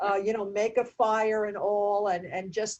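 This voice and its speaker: A woman speaks in a plain, everyday voice. Her pitch is fairly high and her pace moderate. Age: 60s. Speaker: nurse and meditation teacher. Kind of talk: interview conversation.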